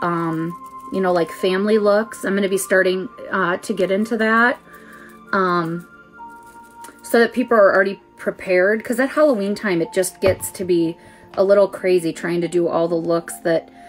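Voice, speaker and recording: A woman talks with ordinary pitch variation. Faint music plays in the background. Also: moderate pace. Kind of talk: casual livestream tutorial chat. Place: home room. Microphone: phone near.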